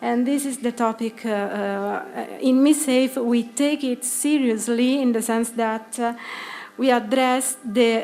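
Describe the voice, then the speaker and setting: A woman with an Italian accent, high-pitched, her intonation fairly even, over noticeable background noise. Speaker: psychologist and project lead presenting at conference. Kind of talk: conference presentation. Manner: hesitant, many fillers.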